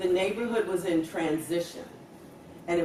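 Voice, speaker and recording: Over noticeable background noise, a woman with a Virginia accent talks at a fairly low pitch. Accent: Virginia, US Southern. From Richmond, Virginia, USA. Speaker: education scholar. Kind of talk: oral history interview answer.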